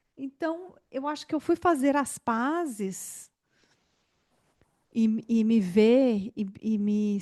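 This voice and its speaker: Against a quiet background with a dry, close sound and no echo, a woman with a fairly high pitch speaks at a very slow pace using lively intonation. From Goiás, Brazil (Goiânia). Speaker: podcast host. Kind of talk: interview conversation.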